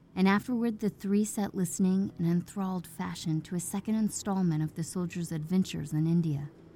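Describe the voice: Pitch shifts in an ordinary way. The delivery is plain reading aloud.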